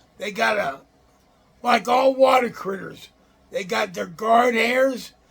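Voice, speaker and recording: Speaking very slowly, a man uses an American accent and an extremely high pitch. Noticeable background noise runs under him. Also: ordinary pitch variation. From Illinois. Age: 60s. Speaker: outdoors channel host. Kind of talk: casual show-and-tell talk. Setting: room in a nursing home. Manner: halting.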